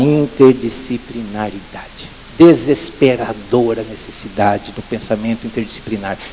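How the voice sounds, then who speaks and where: A man talks at a fairly slow pace with ordinary pitch variation and big swings in loudness. Noticeable background noise runs underneath. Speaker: lecturer at education forum. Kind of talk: conference talk.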